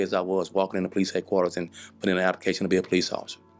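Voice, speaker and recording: A man with an American accent speaks in a very deep, low voice. Music plays in the background. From US South, Dallas, Texas. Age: 60s. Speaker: former police chief. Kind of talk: podcast interview. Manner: halting, with repeated words.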